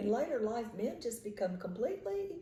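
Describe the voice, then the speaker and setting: A woman's fairly high pitch with a Southern Mississippi accent over noticeable background noise. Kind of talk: casual conversation.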